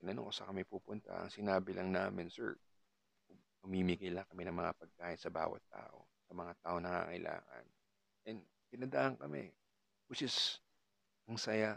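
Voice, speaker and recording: Taking long, frequent pauses, a man with a very deep, low voice and vocal fry speaks at a moderate pace with ordinary pitch variation. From Philippines, Cavite. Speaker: podcaster. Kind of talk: casual monologue. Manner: halting.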